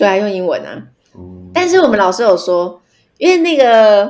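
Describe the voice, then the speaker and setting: Her pitch swings very widely as the woman speaks. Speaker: wine distributor, former bar owner. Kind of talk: casual chat. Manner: loud.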